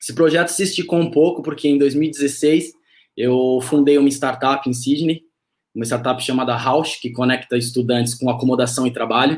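In a very clean recording with a silent background, a man uses an ordinary speaking voice at medium pitch and a moderate pace, with fairly even intonation. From São Paulo, Brazil. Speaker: startup co-founder, digital innovation head. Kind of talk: casual interview.

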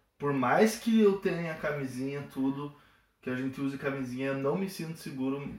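A man talks in an unremarkable speaking voice, keeping a moderate pace and a fairly high pitch that varies in an ordinary way. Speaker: medical student, guest. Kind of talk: casual chat.

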